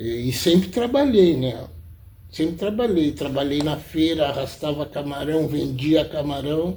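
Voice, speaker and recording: In a room with audible echo, a man with a dark, mellow tone and fairly high pitch talks at a fairly slow pace. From southern Brazil, Rio Grande (RS). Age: 60s. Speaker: self-taught artist. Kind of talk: interview. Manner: halting, with many repetitions.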